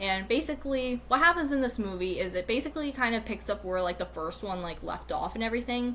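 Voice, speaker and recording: A woman with lively intonation talks at a fairly quick pace. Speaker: YouTuber. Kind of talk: casual monologue video. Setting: recorded at home on computer. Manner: halting, many fillers.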